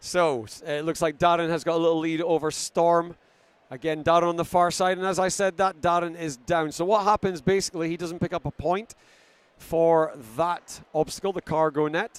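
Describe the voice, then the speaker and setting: A man with a Scottish accent talks at a moderate pace and a high pitch, the sound dry and close with no echo. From Scotland. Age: 50s. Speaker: sports commentator. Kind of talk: live commentary. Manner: animated.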